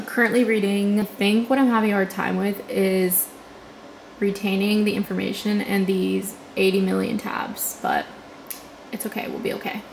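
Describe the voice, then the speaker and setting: Amid noticeable background noise, a woman talks at a medium pitch and a moderate pace with monotone, flat intonation. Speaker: law student vlogger. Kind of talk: casual vlog. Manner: chatty.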